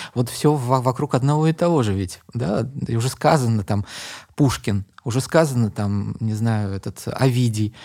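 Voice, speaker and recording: A medium-pitched male voice with a dark, mellow tone, ordinary pitch variation and a fairly slow pace, in a very clean recording against a silent background. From Uzbekistan, Tashkent. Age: 50s. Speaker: poet and translator. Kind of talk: casual interview chat.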